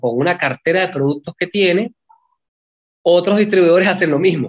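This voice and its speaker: At a fairly quick pace, a man talks in a high pitch, recorded with a dry, close sound and no echo. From Venezuela. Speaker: film director. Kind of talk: interview.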